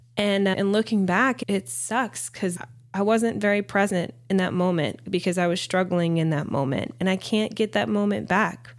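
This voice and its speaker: Speaking with an American accent at a moderate pace, a woman keeps a medium pitch, lively intonation, very even loudness and hardly any pauses. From US South. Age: 30s. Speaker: podcast host, mother and nurse practitioner. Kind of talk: casual monologue.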